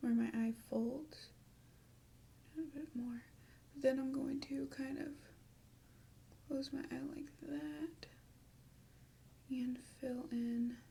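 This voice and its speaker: The speaker is soft-spoken and talks at a very slow pace. Long pauses come often. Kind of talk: ASMR makeup tutorial.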